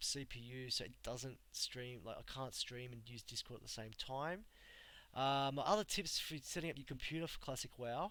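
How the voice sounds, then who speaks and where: Bright and sharp in tone, a man with an Australian accent speaks at a fairly quick pace with ordinary pitch variation. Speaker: gamer streamer. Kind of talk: casual live stream talk. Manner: casual, halting with fillers.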